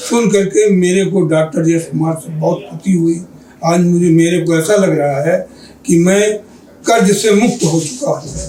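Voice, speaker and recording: Through noticeable background noise, a man speaks at a high pitch with ordinary pitch variation. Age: 70s. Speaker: diabetes patient. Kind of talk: interview testimony. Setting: clinic OPD.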